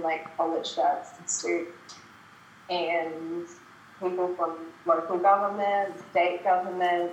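In a room with audible echo, a woman with a fairly low pitch speaks at a very slow pace in a monotone, flat intonation. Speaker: productivity coach. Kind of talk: casual interview chat. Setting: video call. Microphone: poor audio on her end.

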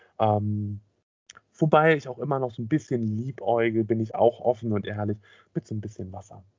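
Speaking in an ordinary speaking voice, a man at medium pitch keeps a moderate pace with ordinary pitch variation. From Schwerin, northern Germany. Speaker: podcast co-host. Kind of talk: casual chat.

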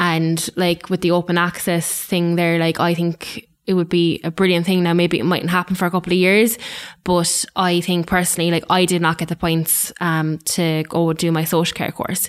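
In a very clean recording with a silent background, a woman with an Irish accent speaks at a moderate pace. Her fairly low pitch stays in a monotone, flat intonation. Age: 20s. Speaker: social care student. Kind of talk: podcast panel discussion.

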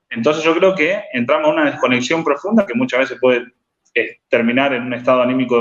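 A man in a Rosario accent speaks at a very fast pace with ordinary pitch variation. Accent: Argentine Spanish (Rosario). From Argentina, Rosario. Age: 30s. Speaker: life coach and writer. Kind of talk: interview conversation. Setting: live stream.

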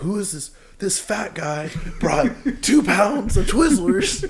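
In a put-on character voice, a man talks at a fairly slow pace, his high, hoarse, strained voice swinging very widely in pitch. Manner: incredulous, mocking.

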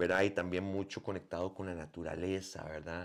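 Over a very clean recording with a silent background, a man speaks in a very deep, low pitch. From Costa Rica. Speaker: musician and bandleader. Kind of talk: interview.

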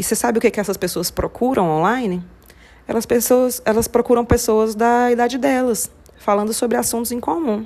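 In an ordinary speaking voice, a woman talks at a fairly quick pace. Her pitch is fairly high and varies in an ordinary way. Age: 40s. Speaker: podcaster. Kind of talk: solo podcast monologue. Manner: casual, conversational.

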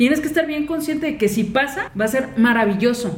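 Speaking at a fairly quick pace, a woman with a high pitch sounds animated, her intonation lively, amid audible room echo and noticeable background noise. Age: 20s. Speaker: podcast co-host. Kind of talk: casual chat.

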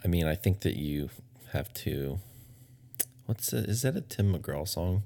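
With an American accent, a man speaks at a very deep, low pitch in a dark, mellow tone, his intonation lively and his pace fairly slow. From Texas. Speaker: podcast co-host. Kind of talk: casual chat. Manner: hesitant, many fillers.

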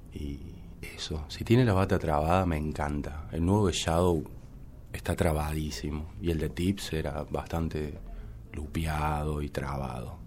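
A man's very deep, low voice at a fairly slow pace, with ordinary pitch variation and audible room echo. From Córdoba, Argentina. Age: 30s. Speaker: musician and DJ. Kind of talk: interview conversation. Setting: studio.

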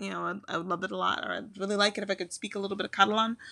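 A woman speaks with an American accent. The sound is dry and close with no echo. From US Midwest, Chicago. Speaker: podcast host. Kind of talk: solo monologue. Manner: animated.

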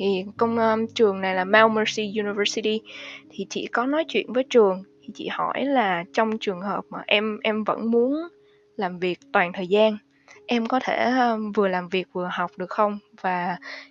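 A woman speaks at a fairly slow pace in a normal speaking voice, with a fairly high pitch and ordinary pitch variation. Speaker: financial analyst. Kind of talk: interview.

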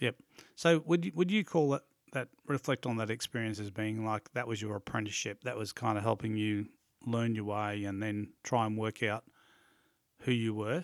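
An Australian accent colors this voice at a moderate pace. Pitch variation is ordinary. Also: man, medium pitch for a man. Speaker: podcast host. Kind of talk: interview. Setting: studio.

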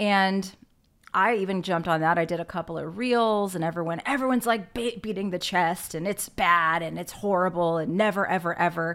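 A woman with a plain, everyday voice, fairly low-pitched, at a fairly quick pace with ordinary pitch variation. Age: 40s. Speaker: podcast host. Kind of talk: casual interview. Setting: video call.

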